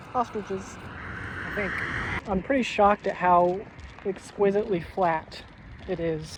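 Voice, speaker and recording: With noticeable background noise, a high-pitched man speaks in fairly even intonation. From United States. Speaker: travel vlogger walking across Europe. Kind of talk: casual vlog narration while walking. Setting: outdoors.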